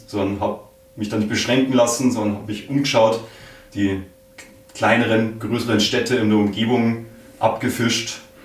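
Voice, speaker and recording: A man speaks at a moderate pace and medium pitch with fairly even intonation, with audible room echo and noticeable background noise. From Bavaria, rural area around Munich. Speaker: podcaster. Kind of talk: interview. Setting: office room.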